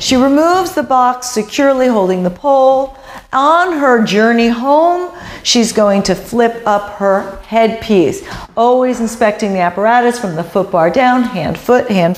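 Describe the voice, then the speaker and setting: A woman speaks at a fairly slow pace. Room echo is audible. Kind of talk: exercise coaching cues. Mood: encouraging, rhythmic cueing. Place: studio.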